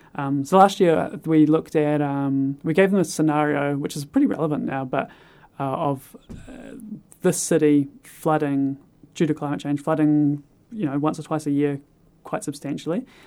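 A man with a New Zealand accent speaks at a fairly high pitch, his dark, mellow tone carrying ordinary pitch variation. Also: moderate pace. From New Zealand, North Island east coast. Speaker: teacher. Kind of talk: casual interview. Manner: halting, many fillers.

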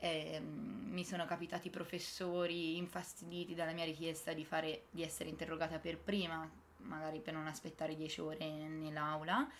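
A woman with a plain, everyday voice, fairly low pitch, fairly even intonation and a moderate pace. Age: 20s. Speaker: medical graduate and mother. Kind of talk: interview.

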